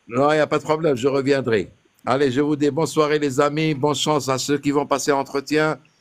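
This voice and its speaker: A man with a fairly high pitch talks at a fairly quick pace in a monotone, flat intonation and very even loudness. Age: 60s. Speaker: caller sharing naturalization interview experience. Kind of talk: casual chat.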